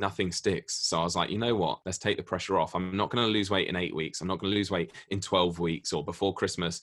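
Over a quiet background, a man with a very deep, low pitch talks at a very fast pace. He leaves hardly any pauses, and his intonation is fairly even. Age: 30s. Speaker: YouTuber. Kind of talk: casual chat. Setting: video call.

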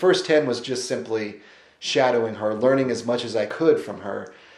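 A man is speaking. Room echo can be heard in the recording. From Missouri Ozarks. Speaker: author. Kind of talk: interview. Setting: on location in Asheville.

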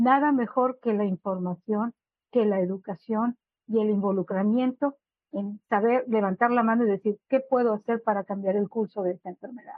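A plain, everyday voice, moderate pace, fairly even intonation. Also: woman, fairly high pitch for a woman. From Monterrey, Mexico. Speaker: patient advocate. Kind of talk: webinar panel discussion.

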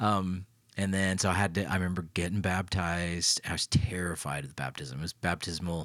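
In a very clean recording with a silent background, a man with an American accent speaks at a fairly quick pace, his very deep, low pitch held in fairly even intonation. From Knoxville, Tennessee, US South. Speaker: pastor and podcast host. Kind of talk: casual conversation about faith.

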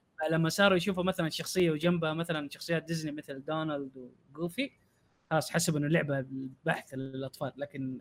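With an unremarkable speaking voice, a man talks at a fairly high pitch and moderate pace with fairly even intonation. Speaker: YouTuber. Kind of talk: casual podcast chat.

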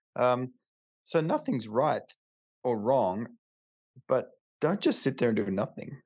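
A man with an Australian accent speaks at a medium pitch and a moderate pace, the sound dry and close with no echo over a quiet background. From Australia, Alice Springs (outback). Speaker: chiropractor. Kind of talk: casual interview chat.

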